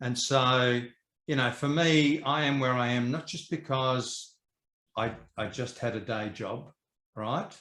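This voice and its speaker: Talking at a fairly slow pace with long, frequent pauses, a man with an Australian accent has a bright, sharp tone at medium pitch and ordinary pitch variation. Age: 60s. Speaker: property educator and investor. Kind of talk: interview.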